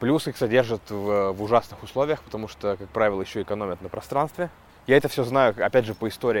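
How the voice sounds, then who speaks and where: Fairly low in pitch, a man talks at a very fast pace with ordinary pitch variation. His loudness swings widely. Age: 30s. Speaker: stand-up comedian and podcaster. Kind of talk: casual monologue podcast. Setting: outdoors walking dogs.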